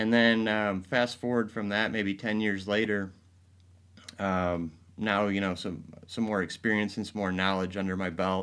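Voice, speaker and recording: In an American accent, a man with a very deep, low voice speaks at a fairly slow pace with fairly even intonation. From Michigan, Grand Rapids. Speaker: advertising agency president. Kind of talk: interview.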